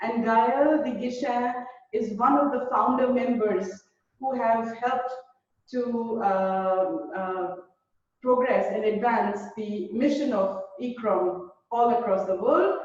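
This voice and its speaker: Audible room echo surrounds a woman's voice. She speaks at a very slow pace with ordinary pitch variation. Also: fairly high pitch for a woman. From India. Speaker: heritage organisation staff, moderator. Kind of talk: formal introduction. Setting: video call. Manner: hesitant, many fillers.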